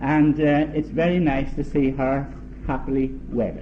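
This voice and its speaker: At a fairly slow pace and a fairly high pitch, a man speaks over noticeable background noise. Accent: non-native. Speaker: uncle of the bride giving a wedding toast. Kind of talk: wedding speech. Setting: wedding reception. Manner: halting.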